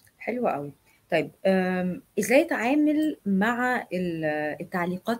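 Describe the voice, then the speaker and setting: A woman speaks at a medium pitch with an Egyptian accent. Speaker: live stream host. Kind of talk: live interview.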